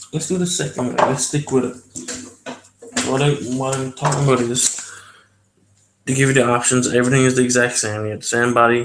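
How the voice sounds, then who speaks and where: Here is a man with an ordinary speaking voice at medium pitch. He talks at a fairly quick pace with fairly even intonation. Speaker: hobby youtuber building miniatures. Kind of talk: live stream tutorial. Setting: home at night, family asleep. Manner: casual, filler-heavy.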